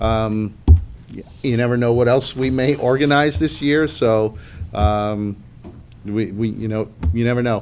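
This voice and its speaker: Here a man talks with an American accent in an ordinary speaking voice. He keeps a moderate pace with ordinary pitch variation. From Long Island, New York. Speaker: union official. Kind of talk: meeting report. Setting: union meeting, livestreamed.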